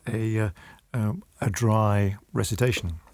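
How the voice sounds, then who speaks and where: A man with a British accent, fairly low in pitch with ordinary variation, at a very slow pace. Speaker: magazine editor. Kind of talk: debate discussion. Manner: formal, hesitant with fillers.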